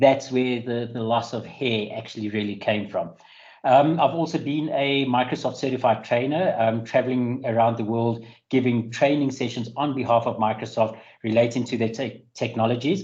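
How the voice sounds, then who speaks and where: A man speaks at a moderate pace with a South African accent. His pitch sits in the middle range and his intonation stays fairly even. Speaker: IT security specialist. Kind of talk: webinar presentation. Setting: online webinar.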